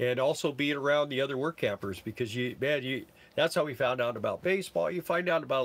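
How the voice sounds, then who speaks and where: Very fast speech from a man, fairly high in pitch and with ordinary pitch variation. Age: 60s. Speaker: full-time RV-er and work camper. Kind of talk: live stream Q&A. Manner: casual, halting.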